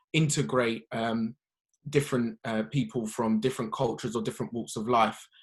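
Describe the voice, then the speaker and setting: Man with a London accent, medium pitch, fairly quick pace. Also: ordinary pitch variation. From South London. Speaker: podcast guest. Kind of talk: conversational discussion. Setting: socially distanced podcast.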